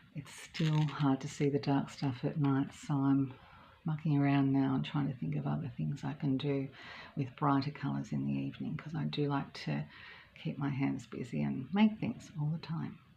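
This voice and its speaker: With an Australian accent, a woman talks at a moderate pace in a relaxed tone. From Australia, Melbourne. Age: 60s. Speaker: knitting vlogger. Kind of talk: casual chat. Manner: relaxed, hesitant with many ums.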